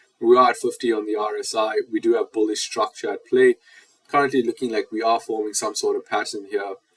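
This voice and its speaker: Recorded dry and close with no echo, a man with a South African accent talks at a fairly quick pace. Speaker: market analyst. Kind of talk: market analysis tutorial.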